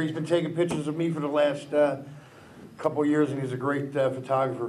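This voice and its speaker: A man's monotone, flat delivery in a Philadelphia accent, with audible room echo and noticeable background noise. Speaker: taxi driver and speaker. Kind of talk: public speech. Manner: fast.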